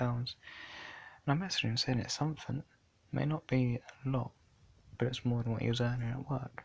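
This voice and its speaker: This man has a medium pitch and a monotone, flat intonation. He talks at a moderate pace with a somewhat breathy voice. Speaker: YouTube vlogger. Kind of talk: casual vlog monologue. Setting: in bed at night.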